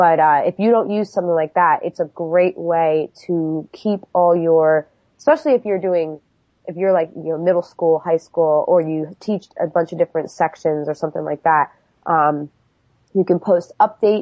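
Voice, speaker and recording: A woman speaks with an American accent in a plain, everyday voice. Her pitch is fairly low, her pace moderate and her intonation fairly even. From New York. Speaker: computer teacher. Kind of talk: podcast interview.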